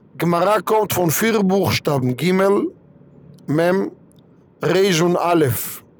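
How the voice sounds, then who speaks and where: A man with an Israeli accent, high in pitch for a man, at a very slow pace with long, frequent pauses, ordinary pitch variation and very even loudness. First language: Hebrew (speaking German). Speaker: rabbi. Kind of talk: religious talk.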